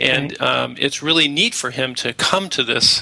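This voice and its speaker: A man speaks against noticeable background noise. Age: 50s. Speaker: founder of a family finance app. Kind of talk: casual interview.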